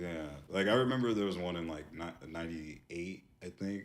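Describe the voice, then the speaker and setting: At a fairly quick pace, a man with an American accent talks in a very deep, low pitch. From Virginia (Portsmouth, Virginia Beach), later California. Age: 30s. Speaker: artist, podcast guest. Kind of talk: casual chat.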